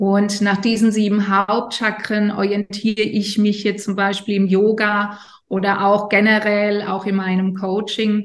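A woman speaks at a fairly slow pace and medium pitch, her intonation flat and monotone and her loudness very even. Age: 50s. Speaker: yoga teacher and coach. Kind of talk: interview explaining yoga and chakras. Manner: hesitant, many fillers.

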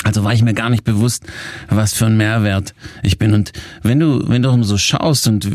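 Medium-pitched and at a moderate pace, this man has an unremarkable speaking voice and fairly even intonation. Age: 40s. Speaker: success coach and podcast host. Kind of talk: coaching podcast talk.

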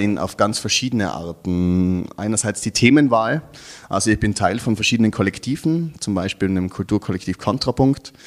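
A man talks in an ordinary speaking voice, fairly low in pitch, with ordinary pitch variation at a moderate pace. The recording is very clean, with a silent background. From Austria, Tyrol (Innsbruck). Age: 30s. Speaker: artist and activist. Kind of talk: interview.

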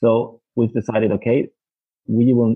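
A man's fairly low-pitched voice over music in the background. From Denmark. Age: 30s. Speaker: digital transformation consultant. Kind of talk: interview. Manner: halting, many repetitions.

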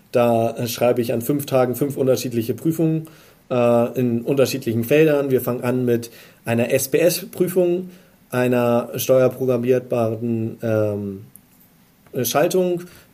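A man talks at a fairly slow pace in a medium pitch. His tone is dark and mellow, with ordinary pitch variation. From northern Germany, Hamburg. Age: 20s. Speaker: electrician in master training. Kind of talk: interview.

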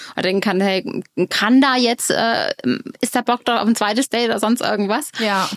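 Dry and close with no echo, a woman's fairly high voice moves at a moderate pace with fairly even intonation. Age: 40s. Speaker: dating expert. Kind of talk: casual chat.

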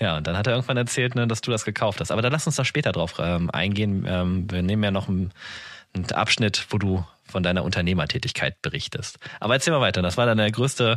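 Speaking at a very fast pace, a man with a fairly low pitch and ordinary pitch variation is heard in a very clean recording with a silent background. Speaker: podcast host. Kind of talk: interview.

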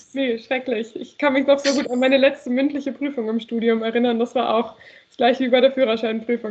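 Pitched high, a woman talks at a fairly quick pace. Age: 20s. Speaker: PR trainee. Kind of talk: casual chat.

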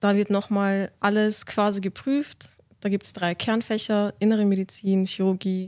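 At a moderate pace, a woman speaks at a medium pitch in an unremarkable speaking voice, on a very clean recording with a silent background. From Austria, Vienna. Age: 20s. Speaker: medical student. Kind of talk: podcast interview. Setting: studio.

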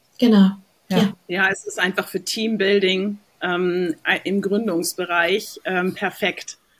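A woman at a medium pitch with monotone, flat intonation and a very slow pace. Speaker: podcast host. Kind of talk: casual chat.

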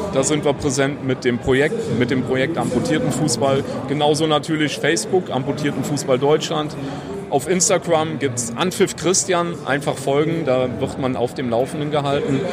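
A man speaks at a fairly high pitch and a moderate pace, with ordinary pitch variation. Noticeable background noise and audible room echo surround his voice. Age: 30s. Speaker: amputee footballer and project initiator. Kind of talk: interview. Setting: trade fair floor.

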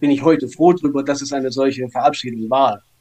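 This man's voice sits at a fairly high pitch. He talks at a moderate pace with ordinary pitch variation. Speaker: bereaved son. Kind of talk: interview. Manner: halting.

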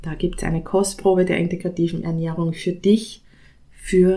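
A woman's dark, mellow tone comes with monotone, flat intonation. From Austria. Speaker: nutrition scientist. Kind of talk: solo podcast talk.

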